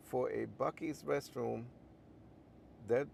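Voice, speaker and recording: A man with a German accent. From Germany. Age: 60s. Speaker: livestreamer. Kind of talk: casual livestream monologue. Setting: in a car. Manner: many filler ums.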